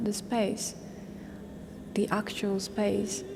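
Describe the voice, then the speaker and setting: In a Japanese accent, a woman speaks at a very slow pace with monotone, flat intonation. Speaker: vocal musician. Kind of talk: interview. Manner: halting, many fillers.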